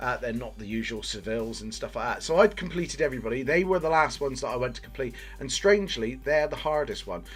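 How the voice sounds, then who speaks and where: Over music in the background, this speaker with a Bristol accent goes at a very fast pace with hardly any pauses and big swings in loudness. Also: man. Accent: terrible Bristol accent, self-described. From England, Bristol. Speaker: gaming youtuber. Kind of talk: video game review commentary. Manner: casual, many filler 'uh's.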